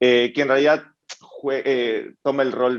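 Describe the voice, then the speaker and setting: In a quiet background, a man speaks fairly slowly with an Ecuadorian accent. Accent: Ecuadorian, people ask about it. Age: 20s. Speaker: startup founder and CEO. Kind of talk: panel interview.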